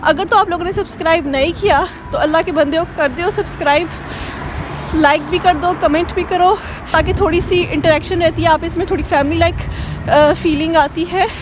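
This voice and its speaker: A woman speaks at a moderate pace in an extremely high pitch, her intonation fairly even, with music playing in the background. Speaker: vlogger. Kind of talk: travel vlog. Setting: outdoors.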